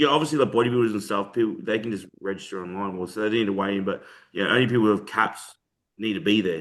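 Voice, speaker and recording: Speaking at a very fast pace, a man has an Australian accent and a fairly low pitch. His pitch varies in an ordinary way. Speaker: bodybuilding podcast co-host, bodybuilder. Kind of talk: casual chat.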